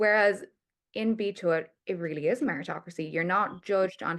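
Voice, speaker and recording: This woman has an ordinary speaking voice at a medium pitch. She talks at a fairly quick pace with ordinary pitch variation. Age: 20s. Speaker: PR account director. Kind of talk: podcast interview.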